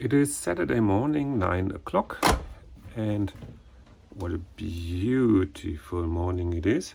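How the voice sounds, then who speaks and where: Very slow and full of long, frequent pauses, a man talks with a dark, mellow, somewhat breathy voice at a fairly low pitch and with lively intonation. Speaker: renovation vlogger and teacher. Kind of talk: vlog narration.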